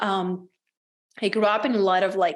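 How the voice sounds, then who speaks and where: A woman in a Czech accent, fairly slow pace and monotone, flat intonation. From Czech Republic, small town. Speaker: women's business coach. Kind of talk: podcast interview.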